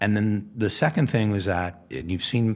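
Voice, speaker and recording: Male speech showing ordinary pitch variation. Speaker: venture capitalist. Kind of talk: interview.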